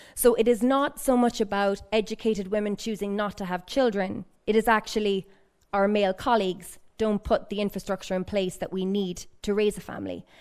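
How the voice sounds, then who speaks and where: A woman with an Irish accent at a medium pitch, her pace fairly quick, on a very clean recording with a silent background. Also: fairly even intonation. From Ireland. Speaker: research fellow asking questions from audience. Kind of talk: audience question at panel discussion. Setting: public event in library.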